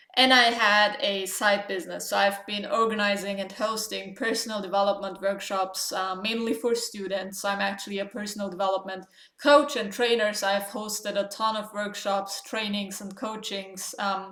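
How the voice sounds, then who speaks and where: Over noticeable background noise, a woman with a non-native accent speaks at a medium pitch in a flat monotone, with hardly any pauses. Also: moderate pace. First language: not English. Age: 20s. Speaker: writing coach and online entrepreneur. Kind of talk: vlog tutorial. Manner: casual with frequent fillers.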